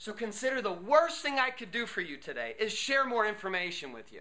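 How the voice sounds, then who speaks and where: A man's high, raised and projected voice with an animated tone, ordinary pitch variation and a fairly quick pace. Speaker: motivational speaker. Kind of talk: workshop talk.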